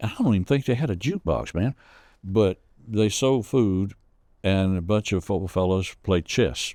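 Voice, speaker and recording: In a Southern accent, a man speaks at a moderate pace with a fairly low pitch, ordinary pitch variation and a dark, mellow tone, on a very clean recording with a silent background and a dry, close sound with no echo. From US South, Rome, Georgia. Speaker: storyteller. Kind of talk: interview storytelling. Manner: halting.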